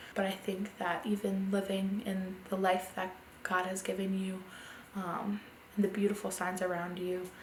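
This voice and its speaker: With an American accent, a woman speaks at a moderate pace in a medium-pitched, monotone, flat voice. Audible room echo surrounds her. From US Mid-Atlantic, Delaware. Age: 20s. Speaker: interviewee. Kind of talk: interview testimony.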